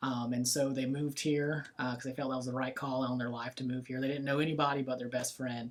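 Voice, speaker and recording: With a Southern accent, a man speaks at a very fast pace with hardly any pauses, at a medium pitch in a monotone, flat intonation. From US South, Florida Panhandle (Bay County). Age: 20s. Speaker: real estate business owner. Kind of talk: casual interview chat.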